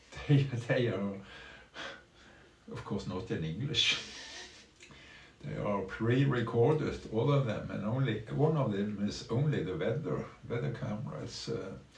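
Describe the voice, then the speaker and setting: A man with a Norwegian accent, medium pitch and very wide pitch swings, at a fairly slow pace with long, frequent pauses, amid audible room echo and noticeable background noise. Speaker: streamer. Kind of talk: casual live stream talk. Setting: small room at home. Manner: halting.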